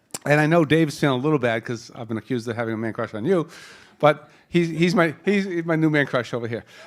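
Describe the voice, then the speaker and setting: A man with a Boston accent at a very fast pace, fairly high in pitch, with lively intonation. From Boston area. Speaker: panel moderator, wealth management executive. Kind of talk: panel introduction. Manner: casual, joking.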